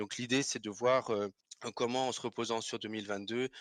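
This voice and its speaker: The delivery is monotone, with flat intonation. The recording is very clean and dry, close with no echo, over a silent background. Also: man. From Alsace, France. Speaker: finance professional, investment salesperson. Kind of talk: podcast interview. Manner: hesitant, frequent filler sounds.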